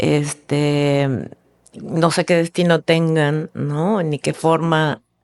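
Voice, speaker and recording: A woman's very deep, low voice at a very slow pace, fairly even in intonation, with a dry, close sound and no echo. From Argentina. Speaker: filmmaker. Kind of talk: casual interview. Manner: halting.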